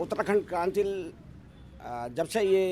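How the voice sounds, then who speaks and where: A man's high voice moves at a moderate speed, its pitch rising and falling in an ordinary way. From Rishikesh, Uttarakhand. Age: 60s. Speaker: local election candidate, retired engineer. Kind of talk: interview.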